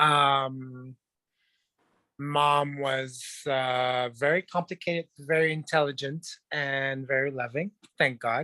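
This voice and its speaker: With a French Canadian accent, a man speaks very slowly at a fairly high pitch in a bright, sharp tone, with fairly even intonation and long, frequent pauses in a dry, close sound with no echo. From Quebec, Montreal. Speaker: dancer, actor and model. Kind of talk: interview.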